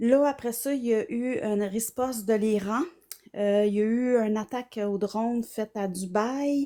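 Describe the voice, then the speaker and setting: Soft-spoken and fairly slow, a woman with a Quebec accent speaks with a fairly high pitch, a dark, mellow tone and fairly even intonation. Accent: Québécois French. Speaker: psychotherapist. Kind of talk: casual chat.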